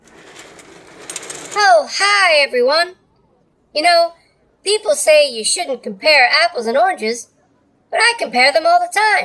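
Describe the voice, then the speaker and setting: In a put-on character voice with an extremely high pitch, the speaker talks at a fairly slow pace. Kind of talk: stand-up comedy bit.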